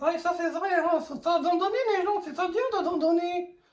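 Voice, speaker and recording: A put-on character voice is used here. Pitched extremely high, it proceeds at a moderate pace. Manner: lip-still speech with P and B swapped for T.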